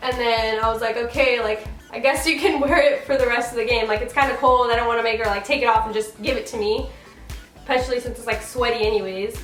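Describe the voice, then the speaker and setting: Music plays in the background as a woman with a high voice talks at a very fast pace. She has a Pacific Northwest accent and fairly even intonation. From Washington State. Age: young. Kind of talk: casual talk to camera.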